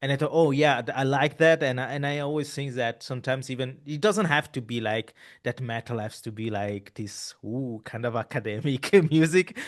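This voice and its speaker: In an Italian accent, the speaker talks at a moderate pace with ordinary pitch variation and hardly any pauses over a quiet background. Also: man, medium pitch for a man. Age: 30s. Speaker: podcast host. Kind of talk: casual interview conversation. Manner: halting, many repeated words.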